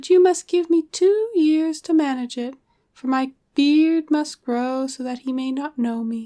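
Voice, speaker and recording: A woman uses a put-on character voice pitched high. Her pace is moderate. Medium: read story. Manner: cheeky and sly.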